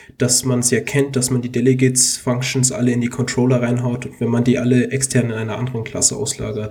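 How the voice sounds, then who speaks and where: Monotone, flat intonation runs through this man's medium-pitched voice. He is somewhat breathy and moves at a fairly quick pace. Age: 20s. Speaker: computer science student and app developer. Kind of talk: casual tech podcast chat.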